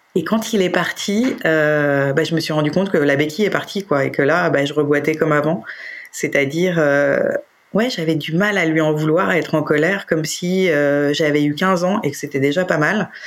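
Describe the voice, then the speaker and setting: Amid audible room echo, a woman with a very deep, low pitch speaks at a moderate pace, her loudness very even and her pitch variation ordinary. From France, Paris. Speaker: interviewee, separated mother. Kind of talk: personal testimony. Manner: hesitant, many fillers and repetitions.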